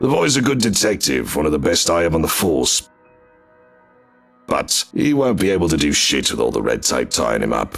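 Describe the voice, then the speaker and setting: A man does a put-on character voice, raspy and very deep, with very wide pitch swings and very even loudness. He goes at a moderate pace over faint music in the background. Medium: audio drama. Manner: gruff, crude, defensive.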